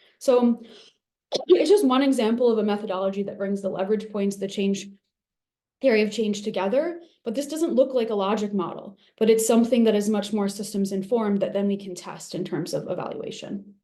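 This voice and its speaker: Amid audible room echo, a woman speaks at a fairly quick pace with a fairly high pitch, ordinary pitch variation and a dark, mellow tone. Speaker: evaluation expert presenter. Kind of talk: webinar lecture. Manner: fast.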